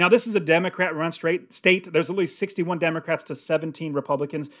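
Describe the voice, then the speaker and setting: Against a quiet background, a man with an American accent talks at a high pitch. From California. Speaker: real estate investor and YouTuber; real estate YouTuber. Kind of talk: monologue to camera. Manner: animated. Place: home room. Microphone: studio mic.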